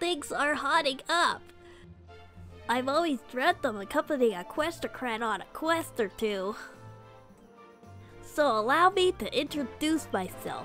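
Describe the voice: A woman uses a put-on character voice with a high pitch and a fairly bright tone. She talks at a slow pace with lively intonation, as faint music plays in the background.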